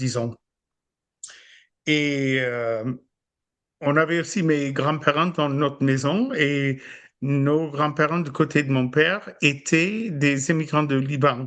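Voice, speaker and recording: A man speaks very slowly at a fairly high pitch with fairly even intonation. His speech has long, frequent pauses. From US, Buffalo, New York. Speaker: podcast guest, host's husband. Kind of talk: casual chat. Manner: halting, many hesitations.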